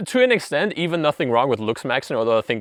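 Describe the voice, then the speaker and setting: Against a quiet background, with a dry, close sound and no echo, the speaker talks very fast in a non-native accent, with lively intonation and an animated tone. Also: man. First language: not English. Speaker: self-help video creator. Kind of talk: casual monologue.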